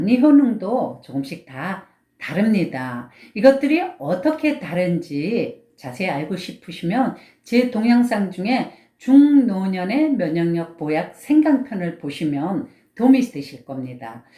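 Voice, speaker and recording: A woman of medium pitch speaks at a very slow pace with a dark, mellow tone, somewhat breathy. Her pitch swings very widely and her loudness swings a lot. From Gangwon Province, Korea. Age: old. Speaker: Korean medicine doctor. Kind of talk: health advice talk.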